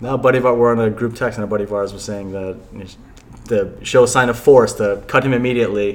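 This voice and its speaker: A man with an ordinary speaking voice talks at a fairly quick pace with fairly even intonation. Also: medium pitch for a man. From New Jersey. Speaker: sports fan guest. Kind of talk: casual chat.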